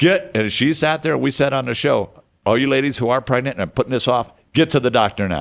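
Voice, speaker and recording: In an animated tone, a man with an American accent speaks at medium pitch and a fairly quick pace, with ordinary pitch variation and vocal fry. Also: quiet background. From US Midwest (Detroit). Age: 70s. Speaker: recovering addict and community radio show host. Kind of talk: podcast interview, casual storytelling.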